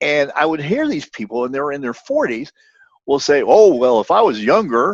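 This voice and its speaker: A man's fairly high voice at a moderate pace, with lively intonation. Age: 60s. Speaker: podcaster, former practitioner. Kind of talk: casual chat. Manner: halting, many repeated words.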